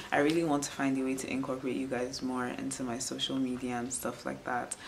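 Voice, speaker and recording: A woman with a very deep, low pitch speaks very fast in a monotone, flat intonation. There is noticeable background noise and audible room echo. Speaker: beauty and lifestyle vlogger. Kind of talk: casual vlog talk to camera. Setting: at home, indoors on a rainy day. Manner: calm, soft ASMR-like.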